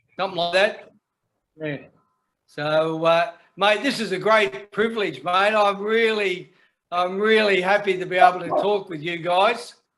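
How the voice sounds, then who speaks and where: A man speaks in an Australian accent at a fairly slow pace. His pitch is high, with ordinary pitch variation. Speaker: men's shed member, woodworker. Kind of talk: casual chat. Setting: video call.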